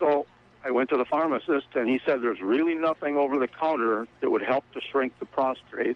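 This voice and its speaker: With a normal speaking voice at medium pitch, a man talks at a fairly quick pace and with ordinary pitch variation. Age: 60s. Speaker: caller. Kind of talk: radio call-in question.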